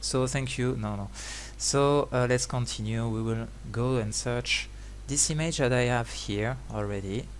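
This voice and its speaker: A man at a very slow pace, with audible room echo around him. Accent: French. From France. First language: French. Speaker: 3D graphics trainer. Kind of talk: tutorial. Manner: halting, many fillers.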